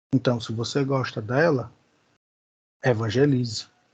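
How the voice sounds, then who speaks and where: Against a quiet background, a man talks at a fairly slow pace. His voice is somewhat breathy. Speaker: Bible school teacher. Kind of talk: lecture.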